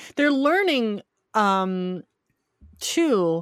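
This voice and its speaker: With an American accent, the speaker goes at a very slow pace in a dry, close sound with no echo. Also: woman, very clean recording, silent background. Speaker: film critic. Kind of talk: casual chat.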